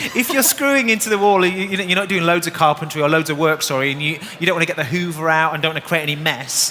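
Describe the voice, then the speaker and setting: Over noticeable background noise, a man speaks very fast at a high pitch, with ordinary pitch variation and hardly any pauses. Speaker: DIY presenter. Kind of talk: live demonstration. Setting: stage with audience.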